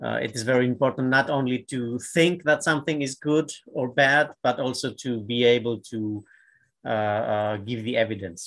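Against a quiet background, a man keeps a moderate pace and ordinary pitch variation. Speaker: surgeon, panel co-chair; panel co-chair. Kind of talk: moderated panel discussion. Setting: video call. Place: home room. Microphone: webcam.

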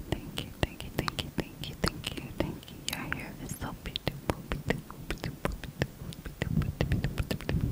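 Whispering at a moderate pace, a woman speaks with hardly any pauses. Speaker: ASMR creator. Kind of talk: ASMR whisper role-play. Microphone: studio mic.

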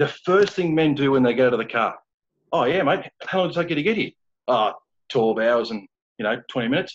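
In an Australian accent, a man with a fairly high pitch talks at a very fast pace, with lively intonation and long, frequent pauses. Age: 30s. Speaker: founder of a men's support group; interview guest. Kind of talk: interview. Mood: earnest, casual, anecdotal. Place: home room. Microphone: video call.

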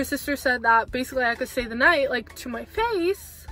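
An animated woman speaks at a high pitch, with a dry sound with no echo and faint music in the background. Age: 20s. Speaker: vlogger. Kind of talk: casual storytime talk to camera. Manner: chatty, animated. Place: car. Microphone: phone near.

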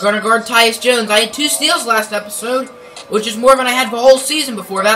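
Faint music plays in the background as the speaker goes at a fairly quick pace. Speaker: gamer. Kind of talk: casual game commentary. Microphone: phone near.

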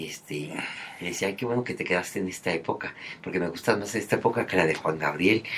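Noticeable background noise runs under this recording. A man talks at a very fast pace with a Mexican accent. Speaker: entertainment commentator. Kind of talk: casual chat. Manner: animated.

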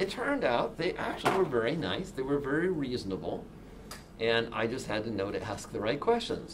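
There is noticeable background noise behind a man with an American accent. His intonation is lively. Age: 60s. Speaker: software developer and keynote speaker; keynote speaker. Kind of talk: keynote talk. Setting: stage with audience. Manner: animated. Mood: relaxed, humorous storytelling. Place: meeting room.

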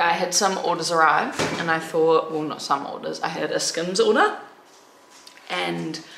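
Speech comes at a fairly slow pace, with audible room echo and light background noise. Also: woman. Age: 20s. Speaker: vlogger. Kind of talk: casual vlog. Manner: animated, chatty. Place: home room. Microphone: phone near.

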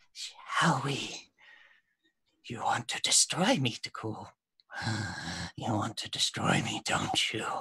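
In a raspy put-on character voice, a man talks at a fairly slow pace with long, frequent pauses, the sound dry and close with no echo. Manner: taunting, menacing.

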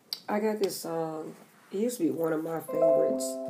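A woman's fairly low voice at a moderate pace, with music in the background. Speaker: card reader. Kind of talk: casual tarot reading chat. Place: home room. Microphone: phone near.

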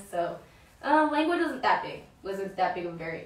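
A woman with an American accent speaks at a fairly quick pace. Room echo is audible.

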